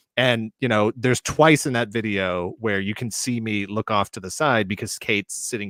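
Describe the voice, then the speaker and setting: Recorded very cleanly against a silent background, a man speaks at a moderate pace in an unremarkable speaking voice, fairly low in pitch with ordinary pitch variation. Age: 40s. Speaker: toy collector YouTuber. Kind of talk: casual chat. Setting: livestream.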